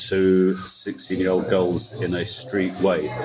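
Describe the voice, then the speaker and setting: A man speaks at a fairly low pitch with music in the background. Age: 60s. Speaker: bar owner. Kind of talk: interview. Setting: music bar. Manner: animated.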